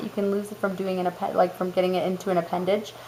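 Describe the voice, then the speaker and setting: A woman talks over noticeable background noise. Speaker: mother of four boys. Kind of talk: casual talk to camera.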